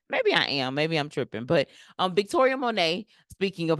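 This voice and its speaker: Against a quiet background, a woman speaks in an animated tone. Her pace is fairly quick. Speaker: YouTube commentary host. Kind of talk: casual commentary. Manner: filler-heavy.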